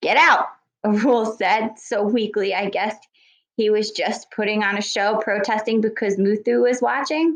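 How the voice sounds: In a natural reading voice with fairly even intonation, the speaker reads over a quiet background.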